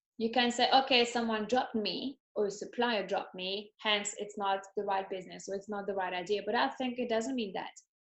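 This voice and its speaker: A woman with a French accent speaks at a fairly high pitch in a monotone, flat delivery. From France. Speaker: entrepreneur. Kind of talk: interview. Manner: halting.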